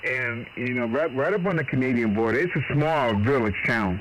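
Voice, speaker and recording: With an American accent, a man talks in a fairly high pitch, with audible room echo and noticeable background noise. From Boston. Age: 60s. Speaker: ham radio operator. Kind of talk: casual chat. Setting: radio contact. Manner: animated.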